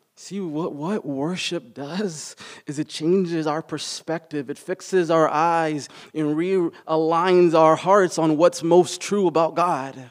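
On a very clean recording with a silent background, a man speaks at a very slow pace, high in pitch, with fairly even intonation. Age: 40s. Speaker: pastor. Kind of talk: sermon.

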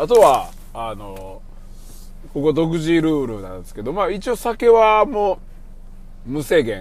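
A man with a Kansai accent at a fairly slow pace, with long, frequent pauses, very wide pitch swings and big swings in loudness. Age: 40s. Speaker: podcast host. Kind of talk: casual monologue. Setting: in a car.

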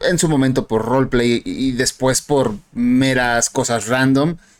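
Very slowly, a man speaks in a medium pitch with fairly even intonation. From Mexico. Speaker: podcast host. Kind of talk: casual chat.

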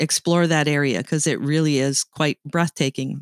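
This speaker has a slight Canadian accent and fairly even intonation, recorded with a dry, close sound and no echo. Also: woman, very clean recording, silent background. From Canada. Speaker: podcast host. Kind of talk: casual chat.

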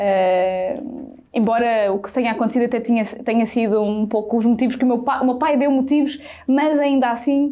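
A woman with a high pitch speaks with ordinary pitch variation. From central Portugal (Sátão, near Viseu). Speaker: digital content creator. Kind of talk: casual interview.

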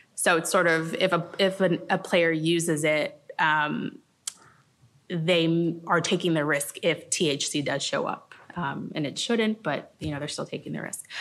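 A woman speaks in a plain, everyday voice at a fairly low pitch. Her pace is fairly slow. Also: fairly even intonation. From Los Angeles. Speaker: sports agency lawyer. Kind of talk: panel discussion.

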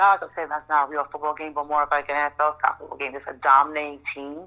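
Very fast speech in an American accent has a bright, sharp tone. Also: woman. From New York. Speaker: football fan guest. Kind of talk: casual sports chat.

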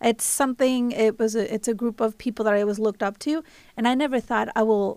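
A woman speaks at a moderate pace with a Spanish accent and a fairly high pitch. Her intonation stays fairly even, and the recording is very clean with a silent background. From Mexico. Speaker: college trustee. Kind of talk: radio interview, casual chat. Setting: radio studio.

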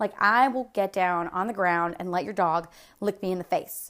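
A plain, everyday voice speaks with lively intonation at a moderate pace. The recording is very clean, and the background is silent. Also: woman. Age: 20s. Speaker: podcast host. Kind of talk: solo monologue. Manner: casual, chatty.

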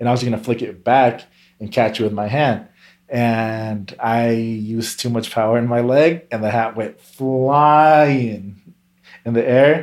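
A man with an American accent has an unremarkable speaking voice at a medium pitch and a fairly slow pace. His intonation is fairly even, and the recording is very clean with a silent background. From California. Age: 20s. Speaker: shuffle dancer. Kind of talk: casual chat.

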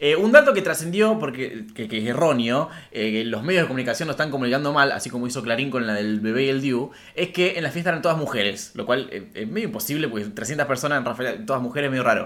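Against noticeable background noise, a man with a medium pitch speaks at a very fast pace in an animated tone with lively intonation. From Argentina, Rafaela (Santa Fe). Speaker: podcast co-host. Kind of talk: casual chat.

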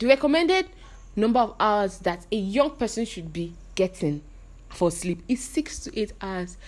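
A woman of medium pitch at a moderate pace, with very wide pitch swings. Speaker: podcast co-host. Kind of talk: casual chat.

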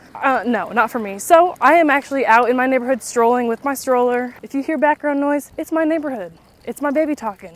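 A high-pitched woman with an American accent talks at a fairly quick pace with ordinary pitch variation. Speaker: podcast host. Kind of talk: casual chat. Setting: outdoors, walking with stroller in neighborhood.

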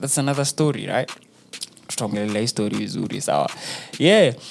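Amid noticeable background noise, a man speaks in an animated tone with ordinary pitch variation. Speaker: radio host. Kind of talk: radio DJ patter, casual chatty show-host banter with slang and Swahili mixed in. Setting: studio. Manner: animated, laid-back, slangy, switching between English and Swahili.

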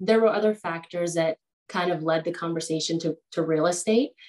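Here is a woman with an unremarkable speaking voice. Her pitch is fairly low and her intonation fairly even. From Peru, moved to the US at age 10. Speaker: real estate agent. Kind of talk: interview.

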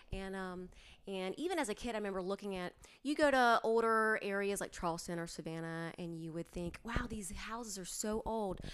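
An ordinary speaking voice from a woman with an American accent, medium pitch, ordinary pitch variation and a fairly quick pace. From North Carolina, Greensboro/Burlington area. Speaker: historic preservation advocate. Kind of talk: interview.

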